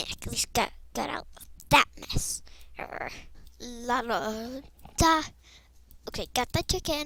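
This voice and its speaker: In a put-on character voice, a woman whispers at a fairly slow pace, with big swings in loudness and long, frequent pauses. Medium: machinima. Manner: playful, giggly.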